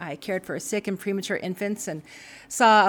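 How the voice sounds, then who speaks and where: In an ordinary speaking voice, a woman with an American accent talks at a fairly quick pace and medium pitch in a very clean recording with a silent background. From Montana (Frenchtown). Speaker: political candidate. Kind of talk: interview. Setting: studio.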